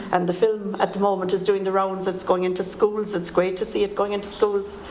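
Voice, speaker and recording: Amid noticeable background noise and audible room echo, a woman with an Irish accent speaks in a monotone, flat intonation. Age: 70s. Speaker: poet and political activist. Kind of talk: panel talk.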